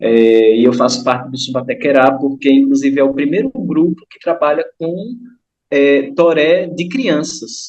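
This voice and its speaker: A man's fairly high-pitched, unremarkable speaking voice at a fairly slow pace with ordinary pitch variation. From Northeast Brazil, São Francisco river region. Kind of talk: online study group talk.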